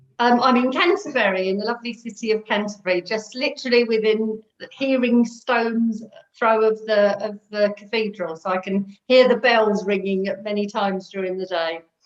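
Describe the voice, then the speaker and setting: With a London accent, a woman of fairly high pitch talks at a moderate pace with ordinary pitch variation. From North London. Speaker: recovering alcoholic sharing her story. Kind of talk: interview testimony.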